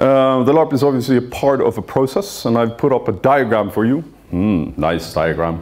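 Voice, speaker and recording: Very wide pitch swings at a moderate pace. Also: man. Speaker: conference presenter. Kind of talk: presentation talk. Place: hall. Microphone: handheld.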